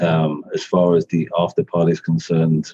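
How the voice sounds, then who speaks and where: The speaker is a man with a British accent. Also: dry, close sound with no echo. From UK. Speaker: company CFO and race sponsor. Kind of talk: casual interview.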